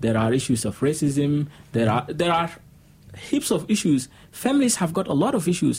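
A man speaks at a moderate pace with a fairly high pitch and very wide pitch swings. His loudness stays very even, and his voice is somewhat breathy. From Sudan. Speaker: refugee community member. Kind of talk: radio interview. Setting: studio.

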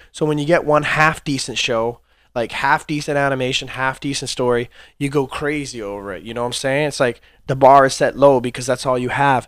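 Over a very clean recording with a silent background, a man speaks at a medium pitch and a fairly quick pace. His intonation is fairly even. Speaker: podcast host. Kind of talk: casual solo podcast monologue. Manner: loose free-flowing delivery.

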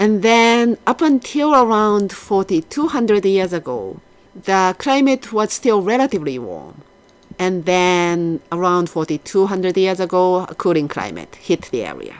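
Lively intonation marks this fairly slow delivery with a Japanese accent. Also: woman, medium pitch for a woman. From Japan, Yokohama. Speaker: archaeology professor. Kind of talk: interview.

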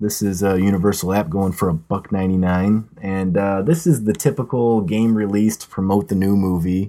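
A man speaks in a normal speaking voice at a moderate pace, in a very clean recording with a silent background. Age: 30s. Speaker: podcast host. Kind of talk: casual chat. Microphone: old podcast mic, not the new one.

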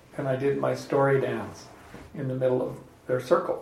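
A man speaks over noticeable background noise. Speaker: podcast host. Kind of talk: casual group discussion with audience Q&A.

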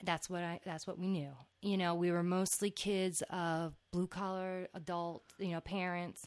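A woman with an American accent speaks fairly slowly in a fairly low, flat, monotone voice, in a very clean recording with a silent background. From New Jersey (Old Bridge). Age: 30s. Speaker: podcast host. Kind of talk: casual chat.

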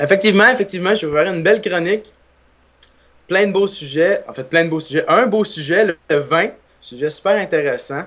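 Talking at a fairly quick pace but with long, frequent pauses, a man speaks in a high pitch with ordinary pitch variation. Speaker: humor columnist. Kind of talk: comedic segment.

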